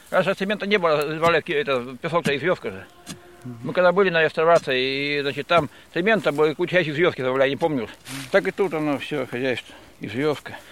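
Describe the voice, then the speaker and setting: A man talks at a very fast pace in a fairly high voice. His pitch varies in an ordinary way while his loudness swings widely. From Krasny Kholm, Tver region. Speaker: manual worker. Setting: outdoors at work site.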